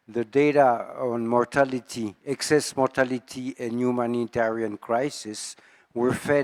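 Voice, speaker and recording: A man with a French accent speaks at medium pitch and a fairly slow pace. His intonation is monotone and flat, and the sound is dry and close with no echo. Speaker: epidemiologist. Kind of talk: audience comment at a conference. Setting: conference session with audience.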